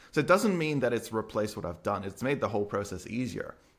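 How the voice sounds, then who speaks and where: Speaking with an Australian accent, a man is heard. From Perth, Australia. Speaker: YouTuber and developer. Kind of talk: casual podcast conversation. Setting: video call.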